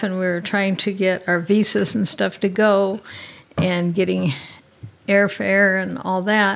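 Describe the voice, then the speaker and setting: A woman speaks at a very slow pace in a monotone, flat intonation. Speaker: missionary. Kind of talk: interview testimony.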